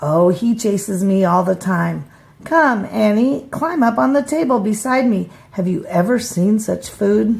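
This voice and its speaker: A woman's raspy put-on character voice, medium in pitch, at a moderate pace. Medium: read story. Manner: grand, breezy.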